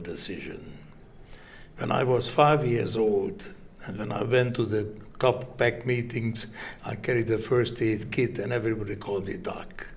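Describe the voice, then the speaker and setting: Audible room echo follows a man with a Hungarian accent as he speaks at a moderate pace and a medium pitch. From Hungary. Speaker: heart surgeon. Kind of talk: interview. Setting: medical congress.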